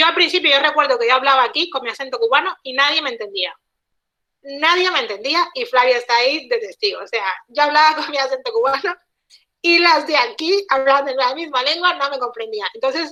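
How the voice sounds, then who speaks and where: A woman's raised, projected voice, high-pitched, with lively intonation and a bright, sharp tone. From Cuba. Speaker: guest speaker, Cuban linguist living abroad. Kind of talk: online talk interview. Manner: hesitant with many repetitions.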